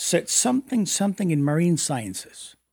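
This man speaks at a moderate pace with a Spanish accent. His recording is very clean and the background is silent. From Mexico City. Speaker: business executive. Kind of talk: interview.

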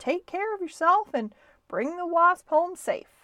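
Slowly and at an extremely high pitch, a woman puts on a character voice with a bright, sharp tone. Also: lively intonation.

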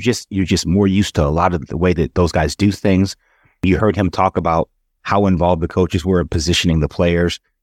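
A man talks at a fairly quick pace with a very deep, low pitch. His loudness stays very even, and his pitch varies in an ordinary way. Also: dry, close sound with no echo. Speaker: baseball executive, former player. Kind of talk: casual chat. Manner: repeats words, halting.

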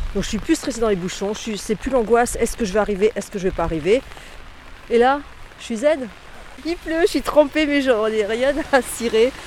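Over noticeable background noise, a woman with a fairly high voice and lively intonation speaks at a moderate pace, with long, frequent pauses. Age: 50s. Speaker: bike commuter. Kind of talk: testimony. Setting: outdoors at a car park. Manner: animated.

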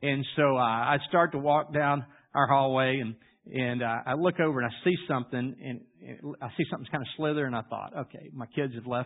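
In a Louisiana accent, a man at medium pitch keeps his intonation fairly even while his loudness swings widely. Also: fairly quick pace. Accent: Louisiana Southern US. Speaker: pastor. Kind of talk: sermon.

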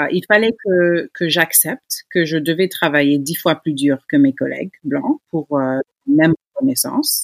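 In a normal speaking voice, the speaker talks at a fairly slow pace with lively intonation, and the sound is dry and close with no echo. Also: woman, fairly low pitch for a woman. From United States (Senegalese family). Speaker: gynecologist-obstetrician. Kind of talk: interview.

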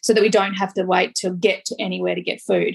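Speaking at a fairly quick pace, a woman with an Australian accent sounds somewhat breathy. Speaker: podcast host and life coach. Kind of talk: casual chat. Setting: recording on location in a small French town. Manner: animated.

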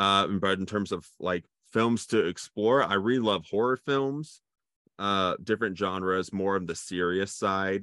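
A man with an unremarkable speaking voice talks at a fairly slow pace, his fairly low pitch moving with ordinary variation. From Cincinnati, Ohio, US Midwest. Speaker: filmmaker. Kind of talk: interview.

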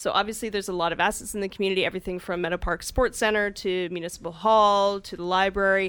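In a western Canadian accent, a woman talks very fast at a medium pitch with monotone, flat intonation, on a very clean recording with a silent background. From Calgary, Canada. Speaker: municipal finance director. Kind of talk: podcast interview. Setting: radio studio.

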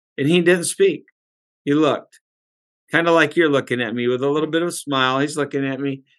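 A plain, everyday voice from a man, fairly high in pitch with ordinary variation, at a fairly quick pace over a quiet background. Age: 60s. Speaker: pastor and author. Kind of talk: testimony.

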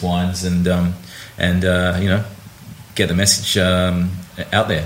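A man with an Australian accent and a very deep, low pitch, over noticeable background noise. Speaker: wine critic, senior editor. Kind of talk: casual chat. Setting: on location at a wine tasting. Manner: halting, many repetitions and fillers.

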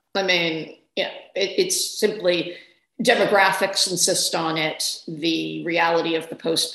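A woman at a moderate pace amid audible room echo. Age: 50s. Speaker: newspaper columnist and author. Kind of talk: interview conversation.

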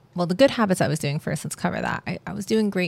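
A woman with a fairly low pitch talks at a very fast pace, with ordinary pitch variation. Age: 30s. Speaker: podcast host. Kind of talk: casual monologue. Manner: laughing often.

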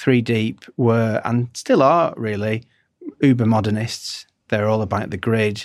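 A man speaks with fairly even intonation, keeping a fairly slow pace. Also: medium pitch for a man. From northwest England. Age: 40s. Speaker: design agency founder. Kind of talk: interview conversation.

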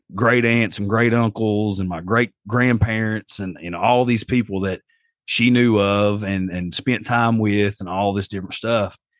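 A fairly low-pitched man with an Appalachian accent at a fairly slow pace, dry and close with no echo, on a very clean recording with a silent background. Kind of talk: casual chat, storytelling.

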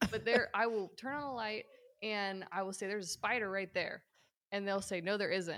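An ordinary speaking voice moves along at a fairly quick pace. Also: woman. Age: 30s. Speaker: podcast guest. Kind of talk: casual chat.

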